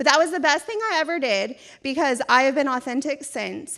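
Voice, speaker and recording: A woman speaks loudly and at a moderate pace, her high-pitched voice bright and sharp with an animated tone and ordinary pitch variation. The recording is very clean, with a silent background. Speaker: event committee chair. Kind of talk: event speech. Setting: stage with audience.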